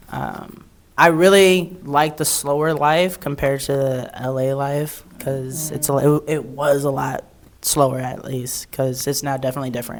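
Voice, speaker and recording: A woman with an American accent speaks at a moderate pace in a very deep, low voice with fairly even intonation. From California. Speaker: podcast co-host, military veteran. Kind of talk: casual chat.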